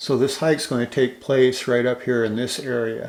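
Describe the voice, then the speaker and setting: A man speaks at a medium pitch in a relaxed tone. His intonation is monotone and flat. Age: 60s. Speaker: hiking video creator. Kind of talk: narrated hiking tutorial. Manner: relaxed, conversational with fillers.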